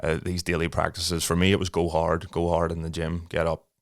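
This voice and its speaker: In an Irish accent, the speaker moves at a fairly quick pace with monotone, flat intonation on a very clean recording with a silent background. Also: man. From Ireland. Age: 30s. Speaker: podcast host. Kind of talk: casual chat.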